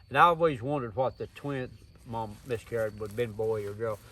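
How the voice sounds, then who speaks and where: A man talks at a fairly quick pace with an Appalachian accent. His pitch sits in the medium range. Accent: Southern Appalachian American. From US South, East Tennessee (Smoky Mountains). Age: 60s. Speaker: survival instructor and bladesmith. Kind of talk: interview, personal storytelling. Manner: folksy, plain-spoken.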